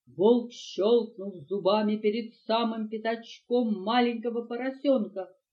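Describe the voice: Fairly even intonation in plain reading aloud.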